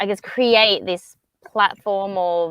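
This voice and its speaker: A woman is speaking. She has an Australian accent. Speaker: co-working space founder. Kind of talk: panel discussion.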